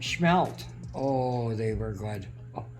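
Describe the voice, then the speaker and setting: With music in the background, a woman talks at a very slow pace. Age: 80s+. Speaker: homesteader. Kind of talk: interview answer.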